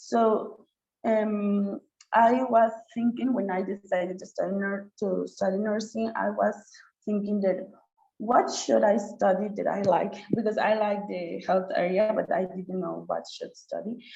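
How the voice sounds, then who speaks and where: At a fairly slow pace, a woman talks with a medium pitch and fairly even intonation. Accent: Oaxacan. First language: Chatino. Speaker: nurse and student scholar. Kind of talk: webinar presentation. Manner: halting, with many repetitions and fillers.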